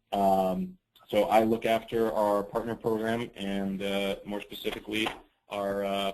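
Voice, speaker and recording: Here a man with a fairly low pitch speaks at a moderate pace in a plain, everyday voice with fairly even intonation. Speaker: software partner program manager. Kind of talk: webinar presentation. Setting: webinar.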